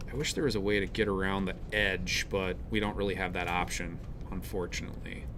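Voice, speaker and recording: A man speaks in a bright, sharp tone. There is audible echo in the room. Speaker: college instructor. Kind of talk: lecture. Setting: live class with students.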